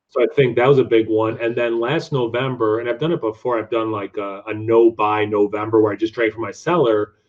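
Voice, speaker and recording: With an American accent, a man speaks in a normal speaking voice at medium pitch, moving at a fairly quick pace with fairly even intonation and hardly any pauses. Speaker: beer reviewer YouTuber and teacher. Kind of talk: casual interview chat.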